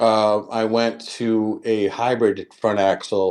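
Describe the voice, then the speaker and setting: A man is speaking. His pitch is medium. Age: 50s. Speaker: off-road enthusiast. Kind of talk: casual chat. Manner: halting.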